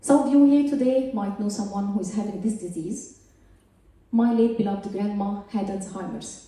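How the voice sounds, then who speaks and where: A woman with a strong Egyptian accent and ordinary pitch variation over noticeable background noise. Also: medium pitch for a woman, moderate pace. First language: Arabic. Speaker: scientist. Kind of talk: stand-up. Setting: stage with audience.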